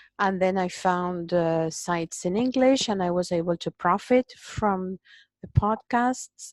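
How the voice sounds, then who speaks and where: This fairly slow speaker has a Spanish accent and ordinary pitch variation. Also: woman, medium pitch for a woman. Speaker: migraine patient. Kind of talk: interview.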